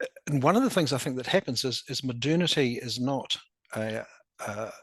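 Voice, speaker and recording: Speaking at a moderate pace in a strong New Zealand accent, a man has a bright, sharp tone and ordinary pitch variation against a quiet background. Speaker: academic presenter. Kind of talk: presentation. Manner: halting, many repetitions.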